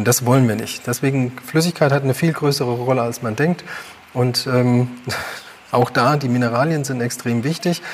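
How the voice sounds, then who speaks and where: The talking proceeds at a moderate pace, with noticeable background noise behind it. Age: 40s. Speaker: health educator. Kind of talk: livestream talk.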